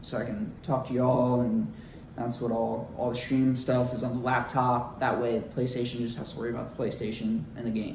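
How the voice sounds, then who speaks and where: A man with an American accent talks at a moderate pace and medium pitch, with noticeable background noise and audible room echo. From Ohio, US Midwest. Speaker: YouTuber, gamer and bodybuilder. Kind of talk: casual vlog talk to camera. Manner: halting, filler-heavy.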